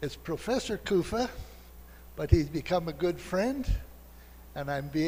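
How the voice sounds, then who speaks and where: Speaking with an American accent, a man's somewhat breathy voice moves with ordinary pitch variation. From US Midwest, Minnesota. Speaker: professor. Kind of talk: lecture. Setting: lecture hall with audience. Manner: slow.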